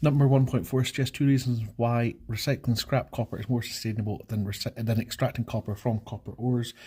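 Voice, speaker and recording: On a very clean recording with a silent background, a man speaks at a medium pitch with a dark, mellow, somewhat breathy tone. His pace is fairly quick and his intonation fairly even. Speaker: chemistry teacher. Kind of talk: exam walkthrough tutorial. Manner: fast.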